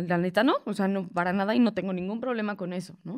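Here is a woman with a normal speaking voice at a medium pitch. She talks at a fairly quick pace with fairly even intonation. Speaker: comedian. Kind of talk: casual chat.

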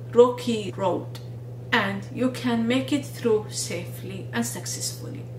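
A woman speaks fairly slowly, with audible room echo and light background noise. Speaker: video blogger and researcher. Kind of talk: monologue video talk with advice. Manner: earnest, encouraging. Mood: earnest, encouraging. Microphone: phone near.

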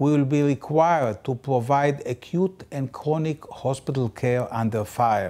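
A man talks at a very slow pace. His pitch shows ordinary variation. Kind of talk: appeal statement to camera. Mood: serious, urgent. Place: office. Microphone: lapel.

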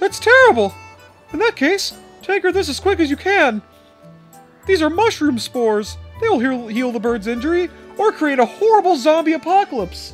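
This put-on character voice is high in pitch, with very wide pitch swings. It moves at a moderate pace over faint background music.

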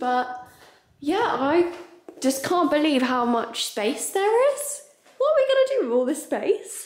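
Audible room echo trails a woman who talks fairly slowly in a high voice with very wide pitch swings. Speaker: travel vlogger. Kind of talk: casual vlog chat. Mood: excited, laughing. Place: home room. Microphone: phone near.

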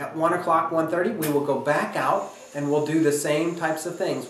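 Audible room echo around a man talking at a moderate pace. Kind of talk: informational talk to camera.

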